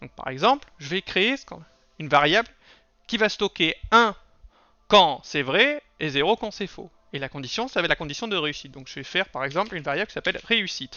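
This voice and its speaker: Speaking at a fairly quick pace, a man with a high voice for a man makes very wide pitch swings and big swings in loudness. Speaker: programming tutor. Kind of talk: tutorial.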